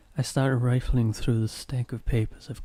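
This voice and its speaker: Soft-spoken and dark, mellow in tone, a man's voice comes through in a dry, close sound with no echo. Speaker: ASMR reader. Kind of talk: soft-spoken ASMR story reading. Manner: soft-spoken, quiet.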